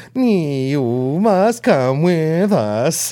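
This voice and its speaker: A man uses a put-on character voice at a fairly high pitch. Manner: robotic, mechanical.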